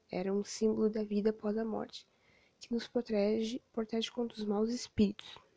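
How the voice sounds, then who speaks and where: Her intonation is monotone and flat. The woman keeps a moderate pace. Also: fairly high pitch for a woman. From southern Brazil, Rio Grande. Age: 20s. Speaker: history student. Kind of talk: educational podcast monologue.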